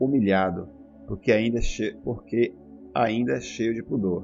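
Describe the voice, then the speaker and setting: A man with a medium-pitched voice uses lively intonation while music plays in the background. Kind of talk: audiobook reading.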